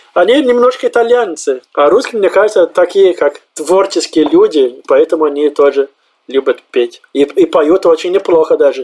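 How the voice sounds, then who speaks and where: At a moderate pace, a man with a high pitch speaks with lively intonation and very even loudness. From southern Brazil, Santa Maria. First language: Portuguese (speaking Russian). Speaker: immigrant, office worker. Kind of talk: interview. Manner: animated.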